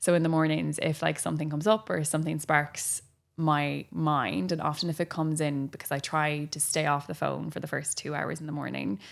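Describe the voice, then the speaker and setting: A woman with an Irish accent speaks at a moderate pace, her very deep, low pitch showing ordinary variation. The recording is very clean, with a silent background. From Ireland. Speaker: physiotherapist and breathwork trainer. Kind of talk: interview answer.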